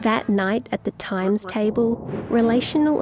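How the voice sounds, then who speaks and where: A fairly high-pitched woman's voice with music in the background. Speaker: narrator. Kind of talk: rhyming story narration.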